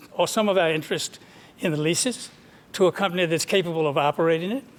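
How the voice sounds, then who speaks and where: There is noticeable background noise. The pitch rises and falls in an ordinary way. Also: man. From West Texas (Midland). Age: 70s. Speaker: oil and gas company representative. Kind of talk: town hall Q&A answer. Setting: public meeting with audience. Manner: halting, repeated words.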